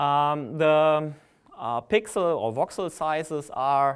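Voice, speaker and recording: A man speaks over a quiet background. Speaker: conference presenter. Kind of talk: lecture. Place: hall. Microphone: podium.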